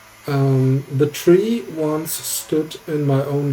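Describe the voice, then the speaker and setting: A speaker with a non-native accent talks over music in the background. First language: not English. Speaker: guitar builder, YouTuber. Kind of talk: voiceover narration for build tutorial. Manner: occasional hesitations.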